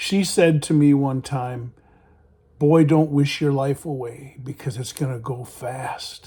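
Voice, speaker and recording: A man speaks at a fairly high pitch with ordinary pitch variation. His tone is dark and mellow, and somewhat breathy. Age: 60s. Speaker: YouTuber giving life advice. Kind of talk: personal storytelling and advice monologue.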